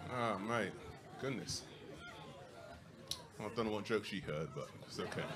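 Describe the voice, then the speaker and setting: A man speaks with long, frequent pauses. Noticeable background noise runs underneath. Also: ordinary pitch variation. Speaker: stand-up comedian. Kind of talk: live stand-up comedy set. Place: stage. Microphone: handheld.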